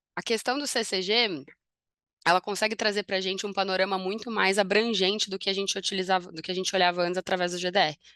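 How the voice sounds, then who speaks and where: Delivered in a put-on character voice, the speech is hoarse and very fast with fairly even intonation. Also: woman, medium pitch for a woman. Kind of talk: professional presentation.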